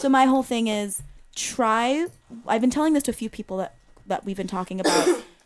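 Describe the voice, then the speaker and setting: Through noticeable background noise, a woman with a fairly high pitch talks at a fairly quick pace. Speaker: podcast host. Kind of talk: casual chat.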